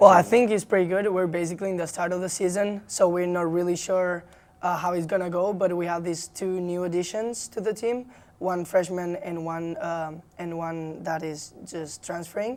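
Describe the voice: A woman with a Spanish accent, a fairly low pitch, little pitch movement, and a slightly mellow tone, at a moderate pace.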